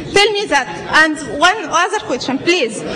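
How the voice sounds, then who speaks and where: In a non-native accent, a raised, projected voice moves at a moderate pace with very wide pitch swings, audible room echo, and noticeable background noise. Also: woman. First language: not English. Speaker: audience member asking a question. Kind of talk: audience question at a debate. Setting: church hall with audience. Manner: halting.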